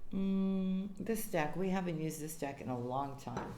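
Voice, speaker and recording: Ordinary pitch variation comes through alongside audible room echo and noticeable background noise. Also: woman. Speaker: tarot reader. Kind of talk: tarot reading. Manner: casual, conversational.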